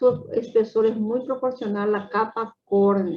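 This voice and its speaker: The speaker has a normal speaking voice with fairly even intonation. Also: woman. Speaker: medical lecturer. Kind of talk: lecture.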